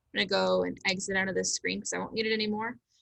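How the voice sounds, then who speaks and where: The tone is bright and sharp, with vocal fry. The sound is dry and close, with no echo. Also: woman. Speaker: teacher giving staff training. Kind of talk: tutorial. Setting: video call. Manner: fast.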